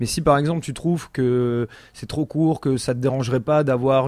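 The man's voice is at medium pitch. He talks fairly quickly. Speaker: music podcast host. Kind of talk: casual chat. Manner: animated.

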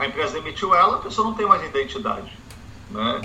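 Noticeable background noise sits behind this recording. A man talks at a fairly quick pace. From Brazil. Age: 40s. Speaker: economics professor. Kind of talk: interview.

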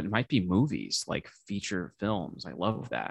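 Against a quiet background, a man with a very deep, low pitch and a bright, sharp tone speaks at a moderate pace with vocal fry. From US Midwest (St. Louis, Missouri). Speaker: musician and filmmaker. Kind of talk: casual interview chat. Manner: hesitant, many fillers.

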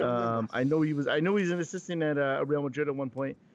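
A man speaks very fast, holding a medium pitch that varies in an ordinary way. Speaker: podcast co-host. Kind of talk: casual chat.

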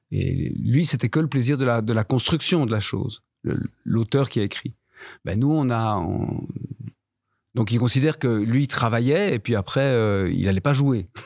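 A man with an ordinary speaking voice talks at a fairly slow pace. His medium pitch shows ordinary pitch variation on a very clean recording with a silent background. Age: 50s. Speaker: veteran theatre actor and teacher. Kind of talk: panel discussion. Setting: live recording before an audience.

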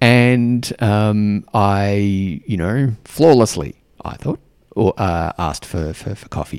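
A man with an Australian accent speaks very slowly in a fairly low pitch, his loudness swinging widely, on a very clean recording with a silent background. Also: ordinary pitch variation. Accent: Australian, fairly mild. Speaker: podcast host and mentor for diplomats. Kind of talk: solo podcast monologue. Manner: filler-heavy, warm, conversational.

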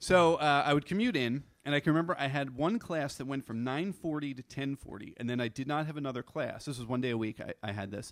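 Very fast speech from a man with an American accent, fairly high pitch and ordinary pitch variation, hardly any pauses, dry, close sound with no echo, and a very clean recording with a silent background. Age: 40s. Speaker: storyteller. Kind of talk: live storytelling. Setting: stage with audience.

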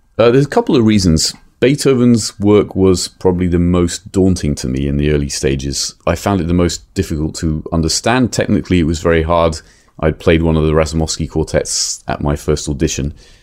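In an English accent, a man speaks at a very deep, low pitch. His pace is fairly quick and his intonation lively. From England. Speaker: violinist and author. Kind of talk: interview. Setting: publisher's office.

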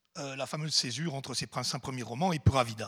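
A man with lively intonation. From Swiss Jura. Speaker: literary club president. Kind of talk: welcome speech.

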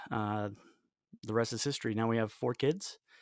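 A man's ordinary speaking voice with an American accent, medium in pitch, with fairly even intonation. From US South, Raleigh, North Carolina. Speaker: guitarist and musician. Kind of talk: casual interview.

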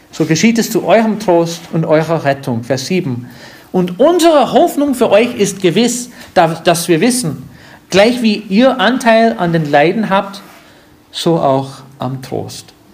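A man's high, warm voice with very wide pitch swings and a very slow pace over noticeable background noise. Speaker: pastor. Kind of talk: sermon. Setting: church. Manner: didactic, earnest, warm; unhurried, explaining verse by verse.

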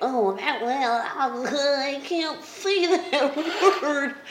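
A high-pitched put-on character voice drags along at a very slow pace. Clear background noise is audible behind it. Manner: dopey, blithering idiot voice.

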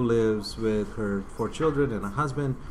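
Noticeable background noise is present. Against it, the man's voice holds a medium pitch. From Bosnia. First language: Bosnian. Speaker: filmmaker. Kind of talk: casual interview. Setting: coffee shop.

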